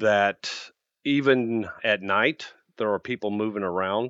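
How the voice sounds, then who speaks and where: A man talks in an American accent at a moderate pace. His medium pitch shows ordinary variation. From US Midwest. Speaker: maintenance executive. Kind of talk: casual interview.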